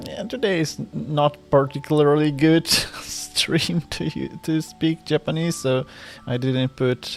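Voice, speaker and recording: Over music in the background, a man speaks at a very slow pace with a non-native accent. His pitch is fairly high. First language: not English. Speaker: vtuber streamer. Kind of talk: live stream chat. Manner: halting, repeated words.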